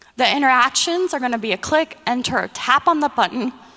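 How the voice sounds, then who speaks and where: A high-pitched woman's voice at a moderate pace, with noticeable background noise. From Mexico. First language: Spanish. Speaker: user experience designer. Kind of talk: conference presentation.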